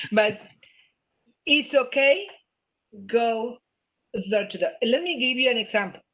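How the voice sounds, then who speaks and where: A woman with a strong non-native accent speaks fairly slowly at a high pitch, with lively intonation. She leaves long, frequent pauses. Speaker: business trainer. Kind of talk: webinar Q&A. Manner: animated.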